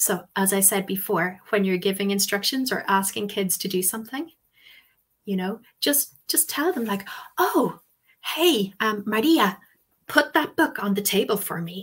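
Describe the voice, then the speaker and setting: Lively intonation in an Irish accent at a fairly slow pace, over a quiet background. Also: woman. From Ireland. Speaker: English language teacher and webinar presenter; English language teacher, webinar presenter. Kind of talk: webinar presentation. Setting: online webinar with live chat. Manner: hesitant, many ums and fillers. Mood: warm, relaxed, reflective. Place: home room. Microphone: webcam.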